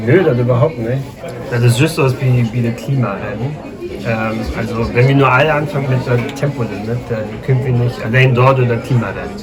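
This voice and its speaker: A man speaks at a medium pitch and a moderate pace with fairly even intonation, amid noticeable background noise and audible room echo. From northern Germany, Schleswig-Holstein near Hamburg. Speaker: linguist, Low German speaker. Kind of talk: casual interview. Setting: café.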